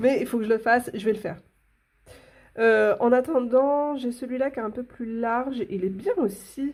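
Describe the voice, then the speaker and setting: Fairly high pitch from a woman, with ordinary variation in tone. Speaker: coloring tutorial youtuber. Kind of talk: tutorial. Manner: animated.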